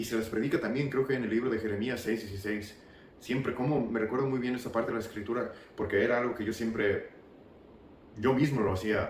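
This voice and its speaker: A man at medium pitch with fairly even intonation and a fairly quick pace, with audible room echo. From US South (Marietta, Georgia). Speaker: former church member giving testimony. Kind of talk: testimony. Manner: halting.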